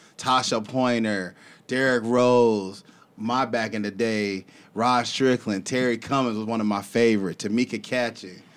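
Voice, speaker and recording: Recorded very cleanly against a silent background, a man with an unremarkable speaking voice and an American accent talks at a medium pitch and moderate pace with ordinary pitch variation. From Texas. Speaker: podcast host. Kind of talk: casual interview chat; scripted show intro. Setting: studio.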